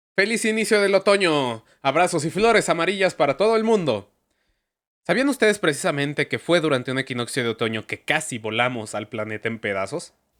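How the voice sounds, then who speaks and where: With very wide pitch swings at a fairly quick pace, the voice comes through in a very clean recording with a silent background and a dry, close sound with no echo. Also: man, fairly high pitch for a man. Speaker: history youtuber. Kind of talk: scripted narration.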